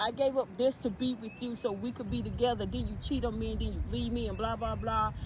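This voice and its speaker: A woman with a North Carolina accent at a fairly quick pace. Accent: Southern US, North Carolina. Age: 60s. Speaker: podcast co-host. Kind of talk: casual chat.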